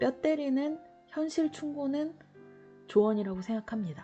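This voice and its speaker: A woman speaks at a moderate pace, her pitch swinging very widely. Music plays in the background. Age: 40s. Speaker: diet vlogger. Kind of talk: casual talk to camera. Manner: rambling, hesitant.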